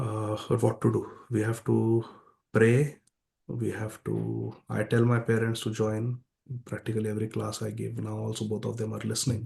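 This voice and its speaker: A man speaks loudly. His pace is moderate. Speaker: spiritual teacher. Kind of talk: lecture.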